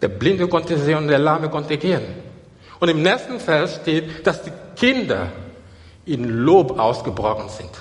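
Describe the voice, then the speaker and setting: A man with a fairly high pitch and very wide pitch swings speaks over noticeable background noise. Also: moderate pace. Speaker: preacher. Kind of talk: sermon to a live congregation, with scripture reading and calls for praise. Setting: church. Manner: animated, urgent and exhortative, with repeated phrases and Hallelujah calls; stop-and-go delivery with repeated words and restarts.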